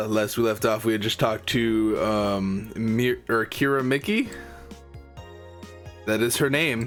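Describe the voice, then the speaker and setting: A man at medium pitch and a fairly slow pace, with very even loudness, fairly even intonation and long, frequent pauses over background music. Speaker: gaming YouTuber. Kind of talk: casual gameplay commentary.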